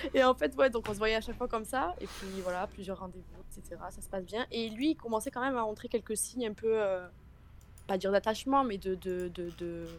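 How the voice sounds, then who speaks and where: A woman talks at a fairly quick pace with a fairly high pitch. Her pitch variation is ordinary, while her loudness swings widely. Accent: southern French. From Marseille, southern France. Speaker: caller. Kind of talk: testimony.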